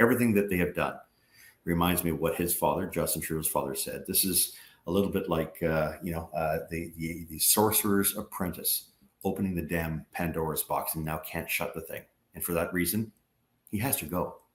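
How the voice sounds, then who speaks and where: A man with a Canadian accent, very deep and low in pitch, at a fairly quick pace with fairly even intonation. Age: 60s. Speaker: former politician, energy advocacy group president. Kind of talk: interview.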